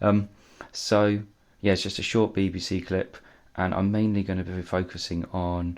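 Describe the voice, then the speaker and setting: A man speaks quietly at a fairly slow pace. His very deep, low voice stays monotone and flat. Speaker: political commentary youtuber. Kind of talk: casual commentary. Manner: halting, many fillers.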